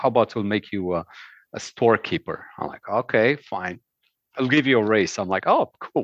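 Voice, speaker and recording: A man's fairly low voice with a Romanian accent, ordinary pitch variation and a moderate pace, in a dry, close sound with no echo against a quiet background. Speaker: former cruise ship bartender. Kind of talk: casual chat.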